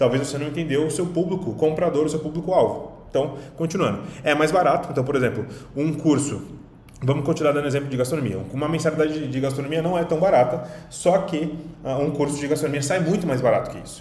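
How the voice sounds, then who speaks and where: With a Brazilian accent, a man speaks at a very fast pace in a fairly high pitch, his intonation fairly even, with audible room echo and noticeable background noise. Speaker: online business coach. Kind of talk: online lesson.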